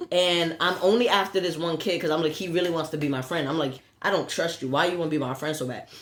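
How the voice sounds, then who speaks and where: Over noticeable background noise and audible room echo, a woman talks at a very fast pace with a fairly low pitch and ordinary pitch variation. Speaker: podcast co-host. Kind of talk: casual chat. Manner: stutter.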